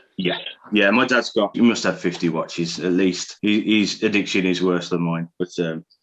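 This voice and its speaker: With a West Midlands accent, a man speaks at a moderate pace in a very deep, low voice with fairly even intonation. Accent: Birmingham-like West Midlands. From West Midlands, England (near Birmingham). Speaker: watch collector. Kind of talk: casual interview.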